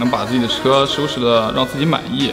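A man talking at a fairly quick pace over clear music in the background. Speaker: car tuning shop co-owner. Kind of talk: interview answer. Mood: calm, reflective. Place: workshop.

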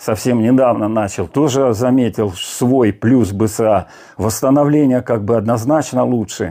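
Over a quiet background, the voice has a dark, mellow tone, ordinary pitch variation and a moderate pace. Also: man. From Siberia, Russia. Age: 60s. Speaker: fitness blogger. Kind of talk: casual vlog talk. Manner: halting, with fillers. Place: home room. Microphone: lapel.

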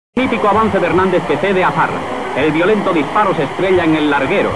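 In a Spanish accent, a high-pitched man talks at a very fast pace against noticeable background noise. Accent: Peninsular Spanish. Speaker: radio football commentator. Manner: formal, declamatory period broadcast style.

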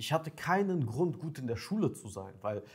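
A somewhat breathy man's voice with lively intonation, on a very clean recording with a silent background. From Ukraine. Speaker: dating coach. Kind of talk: monologue to camera, coaching pitch. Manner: casual, direct.

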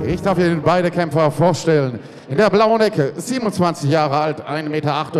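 The intonation is lively. Light noise sits in the background. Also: man. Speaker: ring announcer. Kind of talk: ring announcement. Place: hall.

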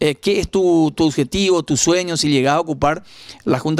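In a dry recording with no echo, a man with a normal speaking voice talks at a fairly quick pace, fairly high in pitch, with ordinary pitch variation. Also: quiet background. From Paraguay. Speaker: local news interviewer; interviewer, program host. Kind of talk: interview. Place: home room. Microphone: handheld.

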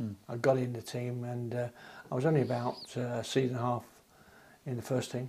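Fairly quick speech comes from a man with a dark, mellow tone. His voice is somewhat breathy. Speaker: interviewee. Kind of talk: interview answer. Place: home room.

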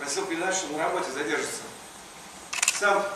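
Speaking very fast in a raised, projected voice, the speaker is heard over noticeable background noise and strong room echo. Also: man. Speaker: stage actor. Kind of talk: theatrical monologue in comedy play. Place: stage. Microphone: camera far.

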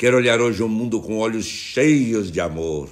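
A man with a Brazilian accent, solemn tone and lively intonation against a quiet background. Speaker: bishop leading morning prayer. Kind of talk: fervent prayer. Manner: earnest, devout, pleading; slow, solemn, rhythmic cadence. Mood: warm, smiling, devotional. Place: home room. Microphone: phone near.

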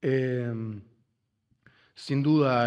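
The background is quiet while a man talks. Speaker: panelist, writer and activist; panelist. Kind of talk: panel discussion. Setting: auditorium panel with audience and interpreters. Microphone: podium.

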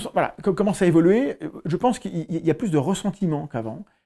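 On a very clean recording with a silent background, a man talks fairly quickly in a high, dark, mellow voice with lively intonation. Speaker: science YouTuber and biologist. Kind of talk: interview.

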